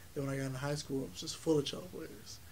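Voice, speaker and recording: A man talks in a fairly high voice with ordinary pitch variation. Audible room echo surrounds him. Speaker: college music student and festival founder. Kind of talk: interview.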